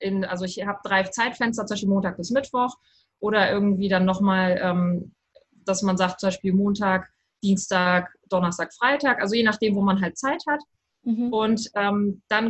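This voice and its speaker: A woman speaks at a moderate pace, somewhat breathy. Her pitch is medium and her intonation fairly even. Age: 30s. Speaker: writing coach. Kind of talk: interview. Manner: halting, many fillers.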